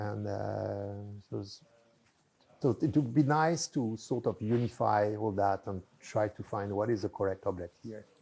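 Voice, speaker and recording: A man with a French accent speaks fairly slowly in a fairly low pitch with a dark, mellow tone. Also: ordinary pitch variation. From France. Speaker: mathematician. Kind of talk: interview. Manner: halting.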